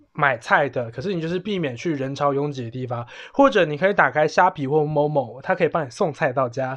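With hardly any pauses, a man talks at a fairly quick pace in a plain, everyday voice, his pitch fairly high with ordinary variation. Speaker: podcast host. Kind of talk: casual chat.

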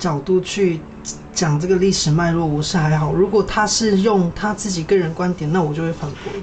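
Over noticeable background noise, a man speaks in a high pitch at a moderate pace with fairly even intonation. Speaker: weaver and student. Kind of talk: casual chat.

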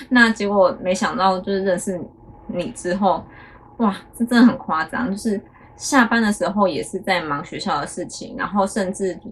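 A woman's medium-pitched, an ordinary speaking voice, at a moderate pace with ordinary pitch variation. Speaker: podcast co-host, teacher's wife. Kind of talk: casual chat.

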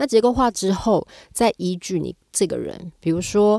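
The voice has vocal fry and a dark, mellow tone at a moderate pace. The sound is dry and close with no echo, on a very clean recording with a silent background. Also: woman. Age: 40s. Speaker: arts company executive director. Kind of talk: casual interview. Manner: animated.

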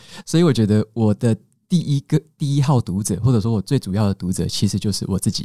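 A man at medium pitch with a dark, mellow tone, talking very fast with lively intonation, in a very clean recording with a silent background and a dry, close sound with no echo. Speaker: book podcaster, former engineer. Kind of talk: interview.

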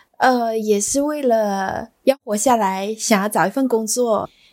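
A woman with a normal speaking voice, fairly high in pitch with ordinary variation, in a very clean recording with a silent background. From Malaysia. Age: 30s. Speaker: bakery owner. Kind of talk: interview.

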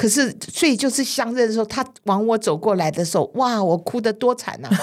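Her pitch sitting fairly high, a woman talks with very wide swings up and down. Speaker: childcare supervisor and author. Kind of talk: interview.

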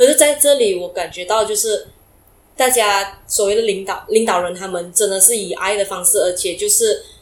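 Her pitch is fairly high and varies in an ordinary way. The woman keeps a moderate pace. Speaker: entrepreneur. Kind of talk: interview. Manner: halting.

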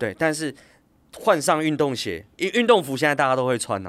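Recorded very cleanly against a silent background, the voice swings very widely in pitch. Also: man. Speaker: fitness company CEO and former coach. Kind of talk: casual interview.

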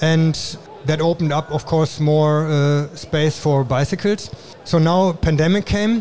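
A man talks at a fairly slow pace, with a fairly high pitch. His tone is dark and mellow, and his intonation stays fairly even. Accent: German. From Germany. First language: German. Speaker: industrial designer and awards judge. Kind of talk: interview. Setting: trade show.

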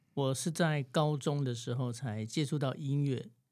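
A man with a normal speaking voice at a medium pitch, on a very clean recording with a silent background. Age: 40s. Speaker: saxophonist. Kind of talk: interview.

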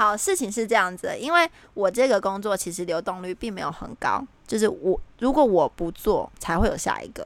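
On a very clean recording with a silent background, a woman with a Taiwanese accent speaks at a moderate pace with a fairly high pitch and lively intonation. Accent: Taiwanese Mandarin. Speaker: podcast co-host. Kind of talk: casual chat. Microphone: new headset that disturbs her speaking.

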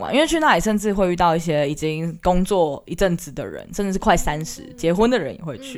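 A woman with a fairly low voice talks at a fairly quick clip with lively intonation, big jumps in loudness and hardly any pauses, over noticeable background noise. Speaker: university student, aspiring teacher. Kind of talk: casual chat.

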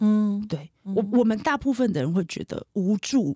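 A woman's somewhat breathy voice has a dark, mellow tone and lively intonation, captured in a very clean recording with a silent background and a dry, close sound with no echo. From Taiwan, Taipei. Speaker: marketing executive and runner. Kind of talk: interview conversation. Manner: animated.

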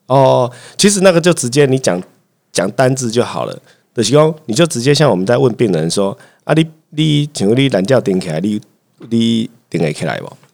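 A man of medium pitch with very wide pitch swings, a moderate pace, and long, frequent pauses. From Taiwan, Chiayi (south). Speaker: family physician. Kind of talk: casual chat.

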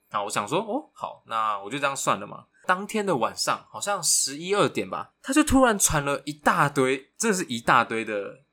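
With a bright, sharp tone, a man talks at a fairly quick pace, his pitch swinging very widely. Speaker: podcast co-host, university student. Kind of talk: casual chat.

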